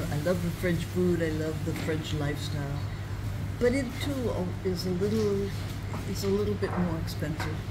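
A woman speaks at a moderate pace, leaving long, frequent pauses. Loud background noise runs behind her. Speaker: retired traveller and author. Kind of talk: interview answer. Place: cafe. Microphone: phone near.

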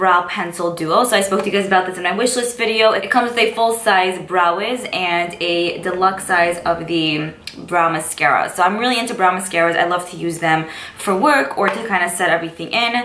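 Woman's medium-pitched voice at a moderate pace, ordinary pitch variation, noticeable background noise. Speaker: beauty vlogger. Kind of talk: casual vlog haul. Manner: excited, animated.

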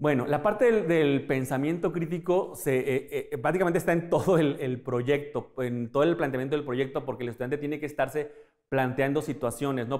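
A man with a fairly high pitch, fairly quick pace and fairly even intonation against a quiet background. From Mexico. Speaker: teacher. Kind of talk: interview. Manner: halting. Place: classroom. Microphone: lapel.

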